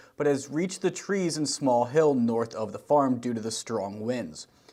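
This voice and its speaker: This is a normal speaking voice with ordinary pitch variation. The pace is moderate. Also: man. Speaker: TV news reporter. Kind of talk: TV news report.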